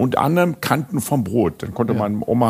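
With lively intonation, a man speaks with vocal fry. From Münster, Germany. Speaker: podcast host. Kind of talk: interview.

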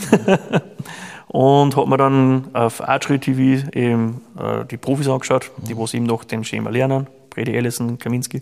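This is a plain, everyday voice of a man at a medium pitch. He talks at a fairly slow pace with fairly even intonation. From Austria. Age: 30s. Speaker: chimney sweep and archer. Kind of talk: casual interview.

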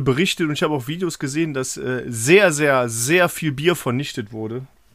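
With an unremarkable speaking voice, a man talks at a moderate pace with hardly any pauses, a fairly high pitch, and ordinary pitch variation. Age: 30s. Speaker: podcast co-host. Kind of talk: casual chat.

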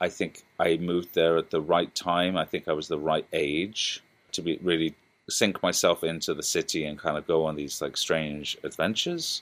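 A man's very deep, low voice in a British accent, monotone and flat, at a moderate pace, on a very clean recording with a silent background. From England. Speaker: DJ and composer. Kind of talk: interview.

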